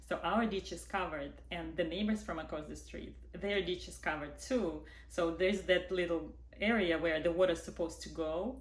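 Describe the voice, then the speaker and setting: A woman with a non-native accent at a moderate pace, her loudness swinging widely amid audible room echo. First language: not English. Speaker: vlogger, widowed mother. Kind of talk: personal testimony. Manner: animated.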